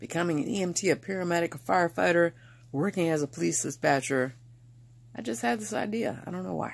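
A very deep, low female voice with vocal fry, a fairly quick pace and very wide pitch swings. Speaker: vlogger. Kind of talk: casual vlog chat. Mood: playful, animated storytelling. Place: home room. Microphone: phone near.

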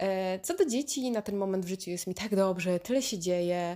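A woman's voice at medium pitch. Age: 30s. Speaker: podcaster. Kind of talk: casual monologue. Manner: animated.

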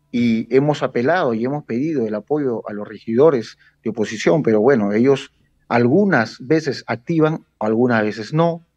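A man speaks at a moderate pace in a medium pitch with ordinary variation. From Peru (Lima, Villa El Salvador); Peru. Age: 40s. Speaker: local political activist; guest. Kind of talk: interview. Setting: video call. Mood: critical, earnest. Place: home room. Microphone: video call.

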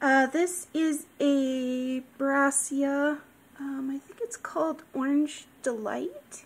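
This woman speaks in a high pitch. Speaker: orchid grower. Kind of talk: casual talk to camera. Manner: extra soft-spoken. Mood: cheerful, affectionate. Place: home room. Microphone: phone near.

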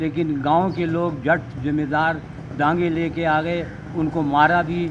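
Against noticeable background noise, a man with a fairly high pitch speaks in a monotone, flat intonation. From Rawalpindi, Pakistan. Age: 80s+. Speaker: partition eyewitness. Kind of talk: interview answer. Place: street.

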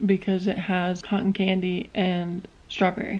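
A woman talks at a very slow pace. Her tone is dark and mellow, and somewhat breathy. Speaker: vlogger. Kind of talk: casual vlog chat. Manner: drowsy, soft bedtime voice. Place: home room. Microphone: phone near.

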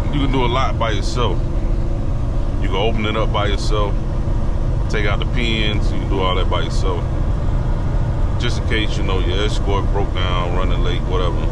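Moderate-paced speech with long, frequent pauses over loud background noise. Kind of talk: casual vlog chat. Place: car. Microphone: camera far.

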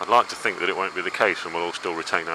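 Through noticeable background noise, a man speaks at a very fast pace in a dry sound with no echo. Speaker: motorbike rider vlogger. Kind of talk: casual vlog chat. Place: motorbike. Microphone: helmet.

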